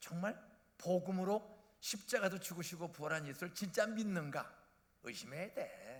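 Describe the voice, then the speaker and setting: A man talks at a moderate pace in a high pitch. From South Korea, Bucheon/Incheon area. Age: 70s. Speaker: retired pastor. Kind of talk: sermon. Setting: church. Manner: animated.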